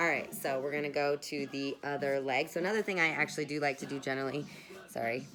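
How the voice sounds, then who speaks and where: A woman with a very deep, low pitch at a moderate pace, music in the background. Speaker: massage instructor for acrobats and aerialists. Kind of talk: guided tutorial. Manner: casual, chatty with fillers.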